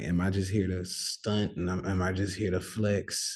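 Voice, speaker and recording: Somewhat breathy and very deep, a man's voice moves at a moderate pace with monotone, flat intonation. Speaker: stock and crypto trader, trading educator. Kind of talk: casual vlog-style talk to viewers. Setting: on the road, near sleeping son's room. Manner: soft-spoken.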